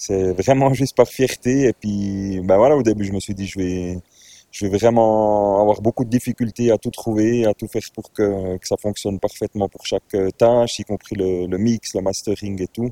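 Fairly low, even-toned male speech with a dark, mellow tone, at a moderate pace, in a dry, close sound with no echo. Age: 40s. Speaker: DJ and music composer. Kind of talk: casual interview.

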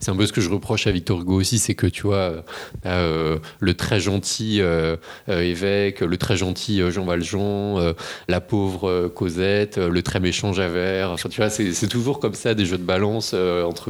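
This man's voice sits very deep and low. His intonation stays fairly even. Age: 30s. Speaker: magistrate. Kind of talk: casual chat.

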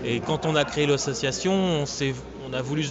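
A man talks at a moderate pace with ordinary pitch variation. Audible room echo and noticeable background noise surround him. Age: 30s. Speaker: retro gaming event organizer. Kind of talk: interview.

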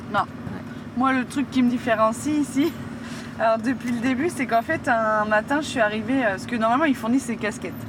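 Noticeable background noise under a fairly quick pace. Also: woman, high pitch for a woman, fairly even intonation. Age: 20s. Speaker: garbage truck driver. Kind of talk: interview testimony. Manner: casual, halting.

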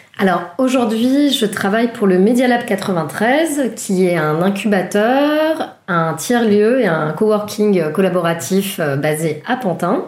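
Amid noticeable background noise and audible room echo, a woman at a medium pitch talks at a very slow pace with hardly any pauses, lively intonation and very even loudness. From Paris, France. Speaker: communications project manager. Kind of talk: interview. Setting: guest's apartment.

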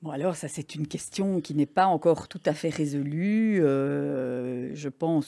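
This woman's voice sits very deep and low, with a dark, mellow tone, moving at a fairly slow pace. The recording is very clean, with a silent background. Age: 60s. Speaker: breast radiologist. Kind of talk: interview.

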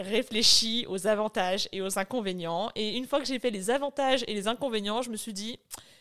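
At a moderate pace, a woman with an unremarkable speaking voice and a fairly high pitch talks with ordinary pitch variation on a very clean recording with a silent background. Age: 30s. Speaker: dietitian. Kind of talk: interview testimony.

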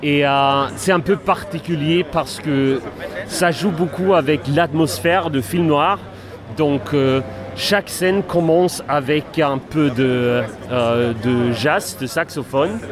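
Over noticeable background noise, a man speaks at a very slow pace in a fairly high pitch, with very even loudness and ordinary pitch variation. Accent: Swedish. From Sweden, Gothenburg. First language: Swedish (speaking French). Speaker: game designer. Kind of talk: interview. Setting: convention floor. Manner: halting.

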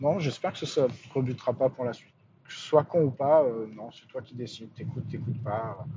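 A man at a medium pitch speaks at a fairly quick pace with ordinary pitch variation. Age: 40s. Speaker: podcaster. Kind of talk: casual monologue. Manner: halting.

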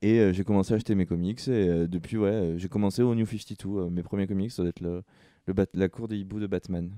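With a quiet background and a dry, close sound with no echo, a man speaks at a fairly quick pace in a fairly low pitch, his dark, mellow tone carried by fairly even intonation. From southern France (Sète). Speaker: comics podcast co-host. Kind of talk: casual chat.

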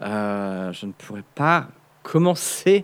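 His voice belongs to a man. It rises and falls over a very wide range. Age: 30s. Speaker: media content creator. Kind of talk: casual chat. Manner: halting.

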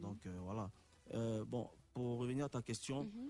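The voice belongs to a man and has a dark, mellow tone. It sits at a medium pitch. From Côte d'Ivoire, Abidjan. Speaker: musician and DJ. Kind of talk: radio interview. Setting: radio studio.

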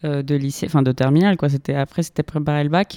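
A woman speaks with a very deep, low pitch and a dark, mellow tone, her intonation fairly even. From Colombia, Bogotá. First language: Spanish (speaking French). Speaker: graduate student. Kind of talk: casual chat. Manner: halting.

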